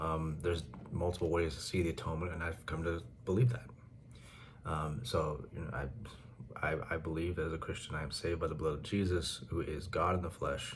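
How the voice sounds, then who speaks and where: Soft-spoken and at a fairly quick pace, a man talks with a very deep, low pitch, vocal fry and ordinary pitch variation, with audible room echo. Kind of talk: casual monologue. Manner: quiet, soft-spoken; halting, many fillers and repetitions.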